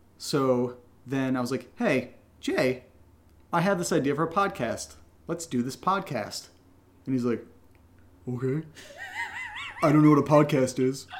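A man speaks at a fairly high pitch with long, frequent pauses. Noticeable background noise runs underneath. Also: ordinary pitch variation, moderate pace. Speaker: podcast co-creator answering patron questions. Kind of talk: casual chat.

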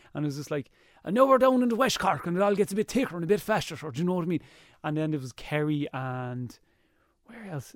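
Talking at a very fast pace, a man with a high voice makes very wide pitch swings and big shifts in loudness, in a very clean, dry, close recording with a silent background and no echo. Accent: Irish. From Ireland. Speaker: TV presenter and YouTuber. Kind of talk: casual chat. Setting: studio. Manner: energetic.

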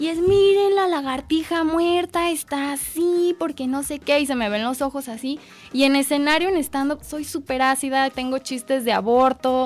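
Moderate pace and hardly any pauses from a woman with a high pitch and ordinary pitch variation. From Mexico, Guadalajara. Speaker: comedian and biologist. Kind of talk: casual chat. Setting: radio studio, live.

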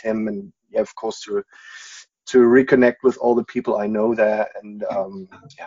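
A man with a German accent. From Germany, Munich area. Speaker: football fan. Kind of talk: casual interview.

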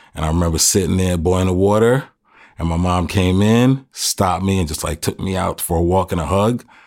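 A man speaks at a fairly quick pace in a very deep, low voice with ordinary pitch variation. The recording is very clean, with a silent background. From Jamaica, then Bronx from age eight. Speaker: father, host's husband. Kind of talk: casual chat.

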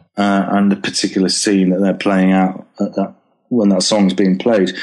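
A dark, mellow tone comes through in this voice with a Lancashire accent. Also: man. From northern England, Preston. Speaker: TV, film and theatre composer. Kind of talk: interview. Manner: halting.

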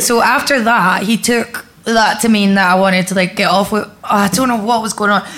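A woman with an Edinburgh accent at medium pitch, talking fairly quickly with hardly any pauses amid noticeable background noise. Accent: Scottish (Edinburgh). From Scotland, Edinburgh. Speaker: comedian. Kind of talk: casual chat before live audience. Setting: comedy club with live audience.

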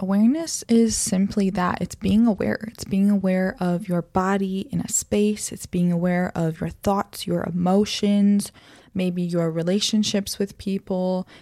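A woman talks in a plain, everyday voice at a medium pitch. Her pace is fairly slow and her intonation fairly even. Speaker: podcast host. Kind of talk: guided meditation; solo talk on self-awareness. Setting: home recording with headphones and microphone. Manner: slow, soft, calm and soothing; gentle, measured pacing with pauses.

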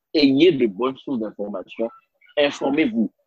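A man speaks with very wide pitch swings. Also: dry, close sound with no echo. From Benin. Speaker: leadership consultant and interpreter. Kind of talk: interview. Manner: hesitant fillers.

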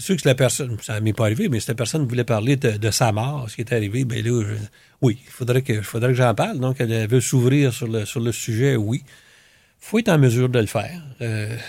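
Recorded very cleanly against a silent background, a man at medium pitch speaks at a fairly quick pace, somewhat breathy, with ordinary pitch variation and big swings in loudness. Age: old. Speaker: retired family doctor and volunteer. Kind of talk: interview. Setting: studio. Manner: halting.

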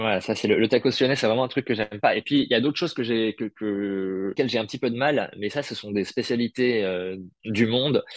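A man speaks at a fairly quick pace and medium pitch, with ordinary pitch variation, in a normal speaking voice. The sound is dry and close with no echo, against a quiet background. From Paris, France. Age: 30s. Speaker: food content creator, former radio journalist. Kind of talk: casual interview.

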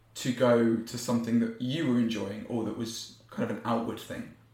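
Speaking at a moderate pace, a man is heard over noticeable background noise. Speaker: podcast host. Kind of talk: casual interview chat.

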